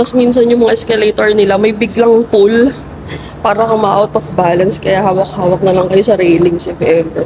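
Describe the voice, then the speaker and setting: Over noticeable background noise, a woman speaks at a fairly high pitch. Her pace is moderate and her pitch variation ordinary. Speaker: travel vlogger. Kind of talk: travel vlog narration. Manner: casual.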